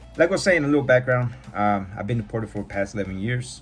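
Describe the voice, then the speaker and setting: A man at a medium pitch with lively intonation, music in the background. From California, US. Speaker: podcast host. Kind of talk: personal testimony. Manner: casual.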